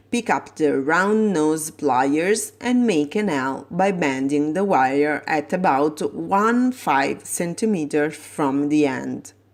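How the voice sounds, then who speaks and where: A woman with an Italian accent speaks at a very slow pace in a very deep, low pitch. Her pitch swings very widely, and the recording is very clean with a silent background. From Italy. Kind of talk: tutorial.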